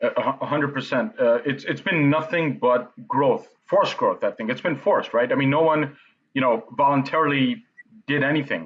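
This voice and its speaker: In a plain, everyday voice, a man talks at a moderate pace, his fairly high pitch rising and falling in an ordinary way. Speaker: event platform interview host. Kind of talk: interview host talk.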